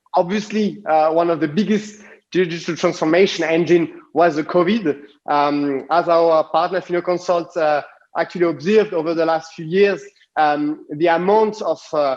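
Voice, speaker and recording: Someone with a strong French accent talks at a moderate pace with fairly even intonation. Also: man. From France. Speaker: design consultancy CEO. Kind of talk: conference talk. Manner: halting, many fillers.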